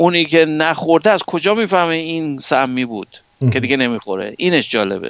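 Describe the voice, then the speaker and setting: A man with a fairly high pitch and very wide pitch swings speaks at a moderate pace, recorded with a dry, close sound and no echo. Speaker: scientist. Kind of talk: lecture.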